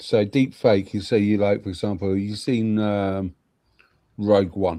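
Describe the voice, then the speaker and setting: With a British accent, a man talks at a fairly slow pace in a fairly low, dark, mellow voice with monotone, flat intonation. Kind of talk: casual chat.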